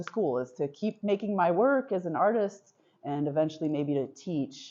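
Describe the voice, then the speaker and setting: The woman here talks at a moderate pace. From US and France, bicultural upbringing. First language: French. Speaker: visual artist. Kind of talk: artist talk. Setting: gallery with audience. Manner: hesitant, many fillers.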